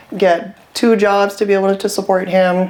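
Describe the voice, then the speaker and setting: Speaking with a Hawaiian accent, a woman uses a medium pitch and fairly even intonation. Noticeable background noise runs behind her. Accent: Hawaii local English. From Hawaii, Waianae (west Oahu). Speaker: real estate investor. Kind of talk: personal testimony.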